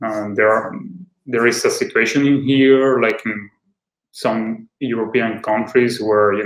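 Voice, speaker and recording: Speaking with a Spanish accent, a man keeps a medium pitch and a monotone, flat intonation. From Venezuela. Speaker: school representative. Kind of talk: online seminar presentation. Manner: halting.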